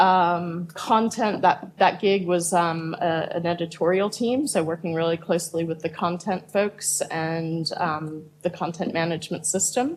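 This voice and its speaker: At a fairly slow pace and with hardly any pauses, a woman talks with a fairly low pitch in a plain, everyday voice. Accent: American. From United States. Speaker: product manager. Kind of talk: panel discussion.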